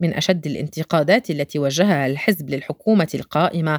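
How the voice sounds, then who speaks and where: A plain, everyday voice with lively intonation comes at a moderate pace in a very clean recording with a silent background and a dry, close sound with no echo. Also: woman. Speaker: photojournalist narrator. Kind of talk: scripted narration.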